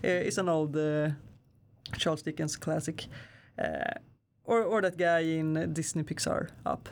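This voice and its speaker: A woman with a very deep, low voice keeps a fairly even intonation and leaves long, frequent pauses. The recording is very clean, with a silent background. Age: 20s. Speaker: amateur model and photographer. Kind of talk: interview. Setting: studio. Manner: halting, many fillers.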